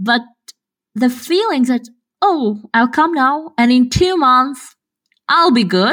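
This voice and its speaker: At a very slow pace, a woman speaks in a high pitch with lively intonation. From Kazakhstan. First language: Russian. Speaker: podcast co-host, researcher. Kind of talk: casual chat.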